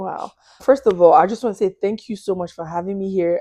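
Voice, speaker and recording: A woman speaks at a very fast pace with a Nigerian accent. Her tone is animated and her pitch medium. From Nigeria, Lagos. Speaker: podcast guest, hospitality worker. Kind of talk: testimony.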